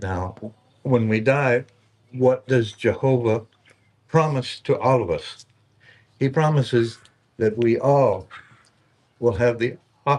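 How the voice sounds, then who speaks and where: Pausing long and often, a man speaks at a very slow pace and a medium pitch with fairly even intonation. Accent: American. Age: 70s. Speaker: visitor sharing religious beliefs. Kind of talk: informal preaching. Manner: halting, many fillers.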